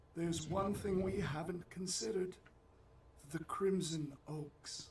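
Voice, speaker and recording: A put-on character voice at a middle pitch and fairly slow pace, with clear background noise. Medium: video game. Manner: calm, terse questioning.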